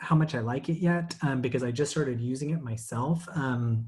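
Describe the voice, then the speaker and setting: This man talks at a moderate pace with ordinary pitch variation. Noticeable background noise sits behind him. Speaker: webinar presenter. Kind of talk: tutorial. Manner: many fillers and hesitations.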